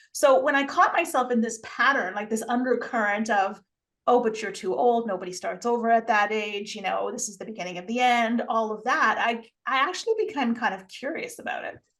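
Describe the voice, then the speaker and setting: A woman with a normal speaking voice talks at a fairly quick pace in a fairly high pitch, with ordinary pitch variation and big swings in loudness. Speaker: empowerment coach and podcast creator. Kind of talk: casual interview chat.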